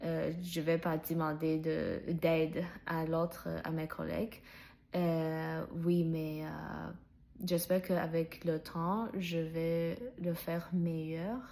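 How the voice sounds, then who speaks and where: A woman speaks very slowly with a non-native accent, in a fairly low voice with a dark, mellow tone. Her intonation is monotone and flat. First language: not French (speaking French). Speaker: French learner vlogger. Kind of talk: personal vlog monologue. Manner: halting, many fillers and restarts.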